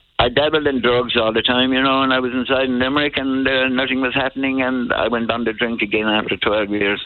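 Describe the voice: A man at a fairly quick pace, medium in pitch, with little pitch movement.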